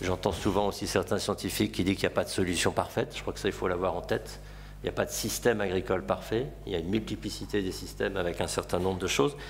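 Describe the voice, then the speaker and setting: A man at a very fast pace over light background noise. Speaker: farmer. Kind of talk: panel talk. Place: meeting room. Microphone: podium.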